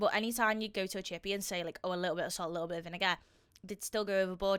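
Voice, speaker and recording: A woman speaks with a Liverpool accent at medium pitch, her tone bright and sharp. The recording is very clean, with a silent background. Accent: Scouse. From Liverpool, Merseyside, England. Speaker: fitness and weight-loss vlogger. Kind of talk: casual video reaction commentary. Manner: animated.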